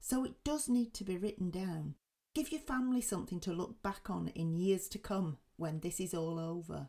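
With an English accent, a woman speaks at a moderate pace in a medium pitch, her tone dark and mellow, somewhat breathy, with lively intonation. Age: 50s. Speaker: podcast host. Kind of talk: casual chat.

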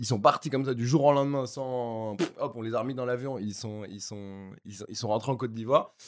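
A man talks in an ordinary speaking voice at medium pitch, fairly quick and with hardly any pauses. His intonation is fairly even while his loudness swings widely. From Paris, France (7th arrondissement). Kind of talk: casual chat.

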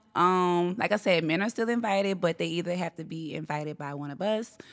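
Using a normal speaking voice, a woman talks in an American accent at a moderate pace, fairly low in pitch with lively intonation. The recording is very clean with a silent background, and the sound is dry and close with no echo. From Gretna, Louisiana, US South. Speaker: DJ. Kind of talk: casual interview chat.

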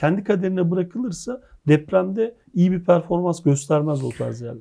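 With a dark, mellow tone and lively intonation, a man speaks at a moderate pace in a high pitch. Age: 40s. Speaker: geophysics academic. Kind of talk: interview.

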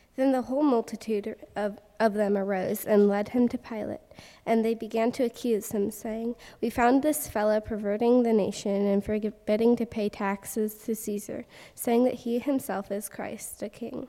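On a very clean recording with a silent background, a woman with a fairly high pitch and a dark, mellow tone talks at a moderate pace with fairly even intonation. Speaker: congregation scripture reader. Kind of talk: scripture reading. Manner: halting, stumbling over words.

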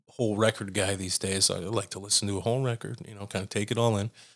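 A man with an ordinary speaking voice talks fairly quickly at a fairly low pitch and fairly even intonation. The recording is very clean, with a silent background. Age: 30s. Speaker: electronic music artist. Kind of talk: casual interview.

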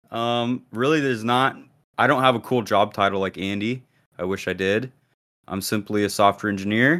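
This man has a plain, everyday voice with a fairly low pitch. He speaks at a moderate pace with ordinary pitch variation. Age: 20s. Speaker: podcast co-host. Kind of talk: casual chat. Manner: casual, laid-back.

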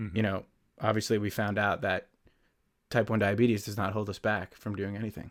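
On a very clean recording with a silent background, a man with an American accent speaks fairly quickly in a fairly low, flat monotone, broken by long, frequent pauses. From northern New Jersey. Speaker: podcast co-host, film and TV producer. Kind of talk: casual chat.

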